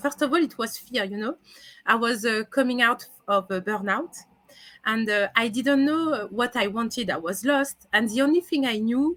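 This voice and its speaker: A woman's bright, sharp voice in a French accent, fairly high in pitch with lively intonation. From France. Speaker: career coach. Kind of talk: interview. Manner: halting.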